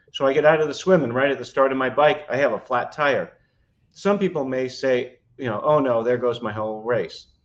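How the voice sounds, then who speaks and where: A man with a plain, everyday voice at medium pitch, ordinary pitch variation and a fairly quick pace. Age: 60s. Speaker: trial attorney and triathlete. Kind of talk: podcast interview. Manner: frequent fillers (uh, um).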